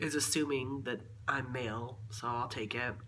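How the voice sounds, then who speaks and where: A medium-pitched man talks at a moderate pace with fairly even intonation, with audible room echo and noticeable background noise. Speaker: transgender vlogger, waiter. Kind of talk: personal video diary. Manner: halting, many fillers and restarts.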